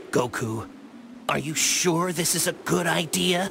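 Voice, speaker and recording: Someone speaks in a put-on character voice at a fairly slow pace. Background noise is clearly audible. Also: man, high pitch for a man. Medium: video game. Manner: level-headed, skeptical.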